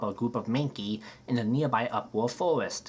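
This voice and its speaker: A man with a normal speaking voice uses a medium pitch and ordinary pitch variation, keeping a moderate pace. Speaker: gaming video creator. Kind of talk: video game retrospective narration.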